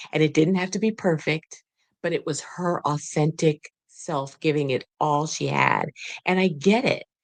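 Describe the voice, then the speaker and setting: In a dry, close recording with no echo, a woman with a very deep, low voice and vocal fry talks fairly slowly with ordinary pitch variation. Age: 60s. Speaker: podcast host. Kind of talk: interview.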